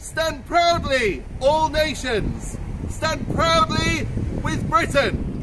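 The background noise is loud. Through it, a man talks. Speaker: town crier. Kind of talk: town crier proclamation. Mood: solemn, proud commemoration. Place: street. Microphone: camera far.

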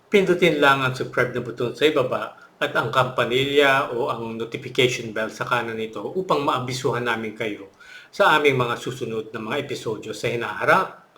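The speaker talks at a fairly quick pace with ordinary pitch variation. Background noise can be heard clearly. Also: man, medium pitch for a man. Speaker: religious channel host. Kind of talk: scripted narration. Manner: hesitant with fillers.

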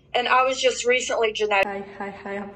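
Noticeable background noise sits under a woman's voice. She talks at medium pitch with monotone, flat intonation. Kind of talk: personal health explanation to camera. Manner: pauses between words, occasional stutter.

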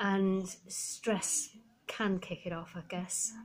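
A woman speaks in a somewhat breathy voice. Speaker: vlogger. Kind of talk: casual vlog chat. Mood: relaxed, a little weary. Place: home room. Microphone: phone near.

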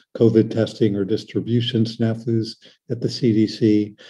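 Against a quiet background, a man speaks at a medium pitch in a somewhat breathy, dark and mellow tone. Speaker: pediatric surgeon; presenter. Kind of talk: lecture. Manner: fast. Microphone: webcam.

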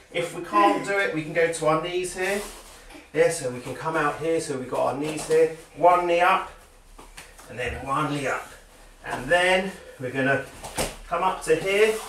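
A man's high-pitched voice at a moderate pace, with ordinary pitch variation, long, frequent pauses, light background noise, and audible room echo. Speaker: judo coach. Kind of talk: exercise instruction. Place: home room.

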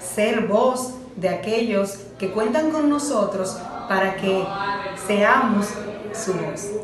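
A woman speaks at a very slow pace. The room echoes audibly, and background noise is noticeable. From Dominican Republic. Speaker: broadcaster and communicator. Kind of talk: interview answer about her profession. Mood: warm, heartfelt. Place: home room. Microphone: phone near.

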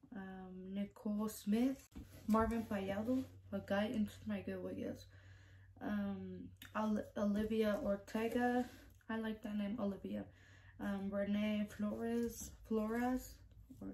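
Soft-spoken and at a fairly slow pace, a woman talks over light background noise. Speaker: YouTuber. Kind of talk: casual vlog, reading out giveaway entrants. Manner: soft-spoken, keeping quiet; hesitant, stumbling over names. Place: home room. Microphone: phone near.

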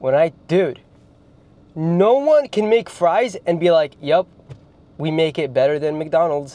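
A man with a fairly high pitch and a dark, mellow tone speaks with lively intonation. The sound is dry, with no echo. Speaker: YouTuber; food reviewer. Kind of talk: casual comedic vlog with humor and swearing; casual vlog chat. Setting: fast food restaurants, ordering at counter. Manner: animated, joking, casual. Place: car. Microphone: lapel.

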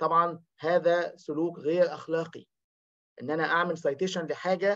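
The man's voice is high for a man, with a bright, sharp tone. His intonation is monotone and flat. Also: quiet background. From Egypt. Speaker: academic researcher; presenter. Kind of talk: seminar presentation. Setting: video call. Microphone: webcam.

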